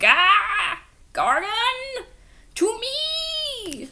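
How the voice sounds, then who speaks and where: A woman uses a put-on, squeaky character voice at an extremely high pitch. Her pitch swings very widely over light background noise. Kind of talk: reading a novel aloud. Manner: trying to sound imperious, but cracking.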